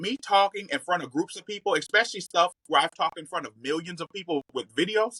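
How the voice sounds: Her voice has a bright, sharp tone and a fairly low pitch, with lively intonation. The woman speaks at a fairly quick pace in a dry, close sound with no echo.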